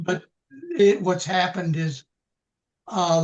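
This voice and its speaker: A man speaks very slowly. His intonation stays fairly even. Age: 80s+. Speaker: retiree. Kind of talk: interview answer.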